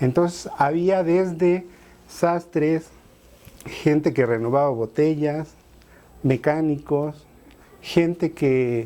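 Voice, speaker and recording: Speaking very slowly with long, frequent pauses, a man has a dark, mellow tone at fairly high pitch, ordinary pitch variation and very even loudness. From Mexico City, Tepito. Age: 40s. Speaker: artist and writer. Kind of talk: interview testimony. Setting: at home, apartment. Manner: conversational.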